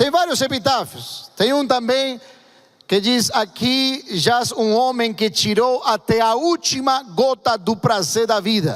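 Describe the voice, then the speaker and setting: A man speaks with an extremely high pitch. He talks at a very slow pace with ordinary pitch variation. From Argentina. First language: Spanish (speaking Portuguese). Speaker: pastor. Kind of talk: sermon. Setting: church.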